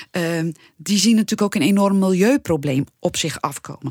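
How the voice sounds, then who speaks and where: Her voice is a normal speaking voice at a fairly low pitch, with a dry, close sound and no echo. The woman moves at a moderate pace. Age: 50s. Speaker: podcast co-host, former radio newsroom manager. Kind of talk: casual podcast discussion.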